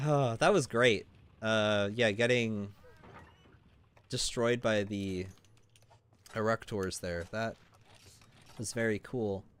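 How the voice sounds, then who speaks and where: A man at a very slow pace, medium pitch and fairly even intonation, with long, frequent pauses. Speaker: gaming streamer. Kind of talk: live stream commentary. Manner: casual, filler-heavy.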